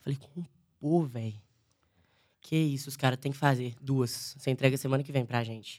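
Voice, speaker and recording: Her pitch very deep and low, a woman keeps a fairly even intonation while her loudness swings widely. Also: moderate pace. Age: 20s. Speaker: sertanejo singer. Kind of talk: casual chat.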